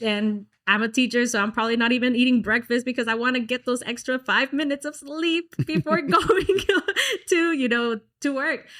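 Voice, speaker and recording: A woman's high-pitched voice in a Texan accent. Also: ordinary pitch variation, moderate pace. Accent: Texan American English. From Dallas, Texas. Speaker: singer. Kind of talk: interview answer.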